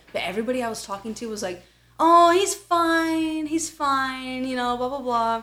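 A woman with a high, bright, sharp voice projects it loudly at a moderate pace with lively intonation, in a very clean recording with a silent background. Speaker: podcast co-host. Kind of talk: casual chat.

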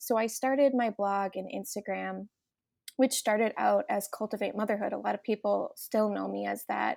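With a Minnesotan accent, a woman speaks at a moderate pace on a very clean recording with a silent background. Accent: Minnesotan, noticeable. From Minnesota, US. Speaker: mom influencer, entrepreneur. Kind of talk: podcast interview, casual chat.

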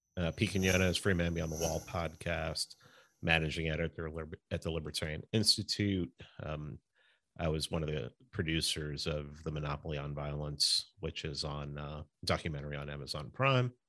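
With an American accent, a man speaks at a fairly quick pace in a very deep, low voice with a bright, sharp tone. His pitch varies in an ordinary way, and the recording is very clean with a silent background. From New York City, the Bronx. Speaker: podcast host. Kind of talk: casual chat.

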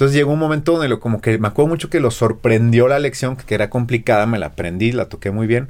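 A man speaks with a Mexico City accent. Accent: Mexico City area Spanish. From central Mexico (Texcoco, State of Mexico). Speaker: guitarist and music teacher. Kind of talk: casual interview chat.

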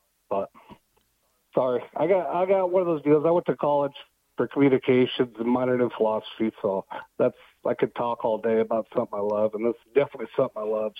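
Speaking at a very fast pace, a man with an American accent has a medium pitch. His intonation is lively. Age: 30s. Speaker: utility locator. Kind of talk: casual chat.

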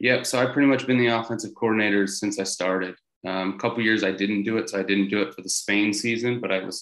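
Talking at a very fast pace, a man with a General American accent keeps a fairly low pitch and fairly even intonation. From Colorado. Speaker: American football quarterback. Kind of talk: interview. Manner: casual, many fillers.

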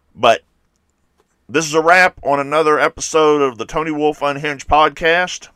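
A man speaks with a fairly high pitch and a bright, sharp tone. The intonation stays fairly even in a dry, close sound with no echo. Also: moderate pace. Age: 50s. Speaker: podcast host. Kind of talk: solo monologue podcast. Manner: casual, opinionated.

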